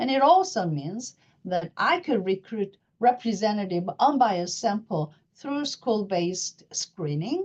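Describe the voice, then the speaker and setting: Somewhat breathy, this woman's voice sits fairly high. Her pitch swings very widely. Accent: Korean. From South Korea. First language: Korean. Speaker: professor of psychiatry. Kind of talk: lecture. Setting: webinar. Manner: halting.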